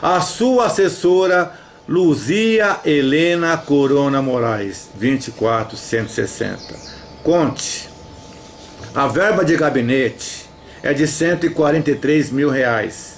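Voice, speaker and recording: A man's very slow, fairly high-pitched speech with lively intonation and very even loudness, over light background noise. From Brazil. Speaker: activist denouncing a councilman. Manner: loud, insistent, indignant; repeatedly addresses the councilman by name, pleading and accusing. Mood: indignant, accusatory. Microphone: headset.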